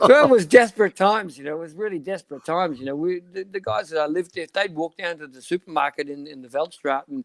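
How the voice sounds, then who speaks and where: Someone with an Australian accent talks very fast with ordinary pitch variation. The sound is dry and close, with no echo. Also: man. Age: 60s. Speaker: cycling sports director. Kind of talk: interview.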